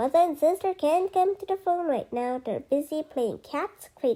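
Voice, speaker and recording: A woman puts on a loud, squeaky character voice at an extremely high pitch. She speaks at a moderate pace. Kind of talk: bedtime story. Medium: read story. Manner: jolly, forthright.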